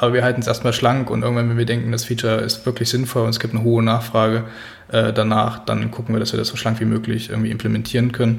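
At a very fast pace, a man talks at medium pitch in a monotone, flat intonation, with audible room echo and noticeable background noise. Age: 30s. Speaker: freelance digital product designer. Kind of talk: casual interview. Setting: his own office studio.

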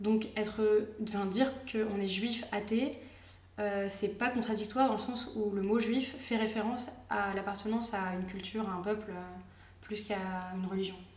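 A woman's fairly high, flat, monotone voice at a moderate pace, with audible room echo and noticeable background noise. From France. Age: 20s. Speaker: architecture student. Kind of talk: casual interview. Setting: at her home.

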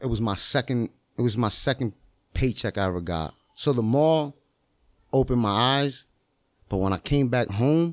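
A man with a normal speaking voice, medium pitch, lively intonation and a fairly quick pace, in a dry, close sound with no echo. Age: 30s. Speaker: master barber and entrepreneur. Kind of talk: casual chat. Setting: in-person studio.

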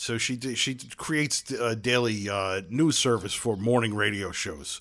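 A man with a Brooklyn accent speaks at a fairly slow pace in a bright, sharp tone with ordinary pitch variation. The recording is very clean, with a silent background. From Brooklyn, New York. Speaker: podcast host. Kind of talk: casual chat.

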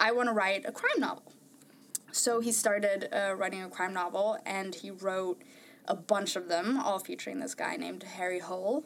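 A woman speaks at a moderate pace with a Norwegian accent. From Norway. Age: 20s. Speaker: podcast panelist. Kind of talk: casual chat.

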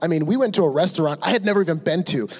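Through noticeable background noise, a high-pitched man with an American accent talks with lively intonation. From Michigan, Ann Arbor. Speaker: church member. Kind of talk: testimony.

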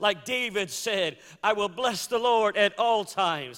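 On a very clean recording with a silent background, a man uses a raised, projected voice with a high pitch and a bright, sharp tone, speaking at a fairly slow pace. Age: 50s. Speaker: preacher. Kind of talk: sermon. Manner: animated.

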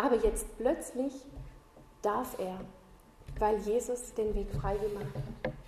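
A woman speaks at a very slow pace with long, frequent pauses, her pitch fairly high with ordinary variation. Audible room echo and noticeable background noise are present. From southern Germany. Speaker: Bible school teacher, lay preacher. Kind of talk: sermon.

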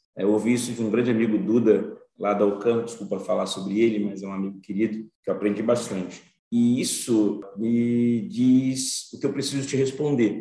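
At a moderate pace, a man with a medium pitch talks in fairly even intonation, and the room echo is audible. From Brazil, Bahia (Salvador). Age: 40s. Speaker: finance professional and diversity advocate. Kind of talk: interview.

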